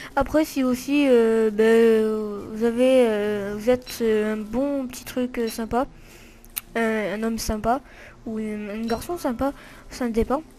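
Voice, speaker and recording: Using a dark, mellow tone and a fairly high pitch, a woman speaks at a very slow pace with fairly even intonation. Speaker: gaming video creator. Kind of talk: let's play commentary. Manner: halting, many fillers.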